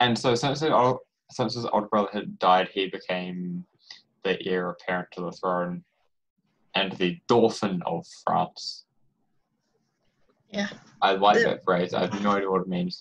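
Over a quiet background, the speech moves at a fairly slow pace with long, frequent pauses and ordinary pitch variation. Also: man, fairly low pitch for a man. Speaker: quiz host presenting the topic. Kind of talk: casual quiz chat. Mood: playful, relaxed. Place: home room. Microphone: video call.

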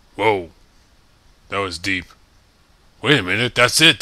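A put-on character voice from a man, pitched fairly low, moderate in pace. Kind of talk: comedy parody dub. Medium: dub.

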